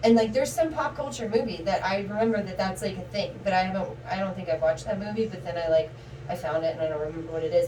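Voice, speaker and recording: With an American accent, a woman talks at a very fast pace with very wide pitch swings. The recording has audible room echo and noticeable background noise. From Baltimore, US. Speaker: streamer, channel owner. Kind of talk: casual chat. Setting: livestream from a bathroom.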